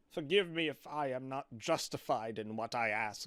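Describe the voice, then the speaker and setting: A man puts on a character voice. His pitch sits in the middle range and his pace is moderate. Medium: read story.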